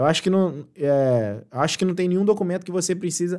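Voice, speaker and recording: A man talks in an animated tone with ordinary pitch variation. His pace is moderate. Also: quiet background. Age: 20s. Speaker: exam prep tutor. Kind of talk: live stream tutorial. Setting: live stream. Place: home room.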